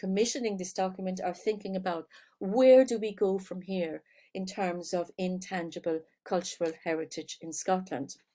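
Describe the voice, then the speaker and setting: In an Irish accent, a woman talks at a moderate pace and medium pitch with a dark, mellow tone. Her intonation is fairly even, and the recording is very clean with a silent background. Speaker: professor. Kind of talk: lecture. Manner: hesitant fillers.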